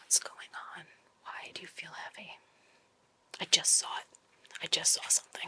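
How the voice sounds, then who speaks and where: A woman whispering at a moderate pace, with long, frequent pauses and big swings in loudness. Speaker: paranormal investigator and psychic medium. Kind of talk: ghost hunting investigation session.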